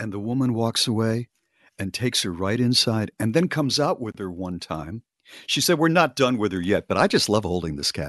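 Recorded dry and close with no echo against a quiet background, a man speaks at medium pitch. He keeps a moderate pace while his pitch swings very widely. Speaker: radio host. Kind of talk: casual storytelling chat. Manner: animated; wry, comic storytelling.

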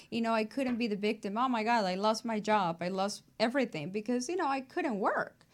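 Her lively intonation and fairly quick pace come through as a woman talks with a Mexican accent. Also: fairly high pitch for a woman. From Mexico. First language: Spanish. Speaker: abstract artist. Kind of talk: interview.

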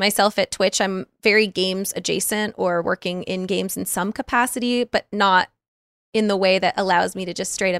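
A woman with an ordinary speaking voice talks at a moderate pace and medium pitch, her intonation fairly even. The recording is very clean with a silent background and a dry, close sound with no echo. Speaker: Twitch streamer and podcaster. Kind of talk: casual chat.

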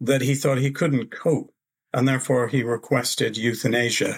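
The voice is somewhat breathy, heard in a very clean recording with a silent background. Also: man. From Canada. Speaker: author. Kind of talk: interview.

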